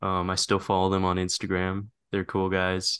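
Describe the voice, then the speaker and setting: With a very deep, low pitch and a bright, sharp tone, a man speaks over a quiet background. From Canada. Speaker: filmmaker, actor. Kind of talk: casual interview chat.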